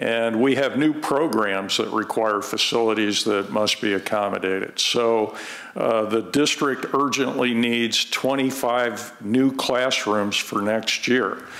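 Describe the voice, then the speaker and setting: At a very slow pace, a man speaks with hardly any pauses, very even loudness and fairly even intonation. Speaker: school district administrator. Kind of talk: public meeting testimony. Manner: halting. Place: hall. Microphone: podium.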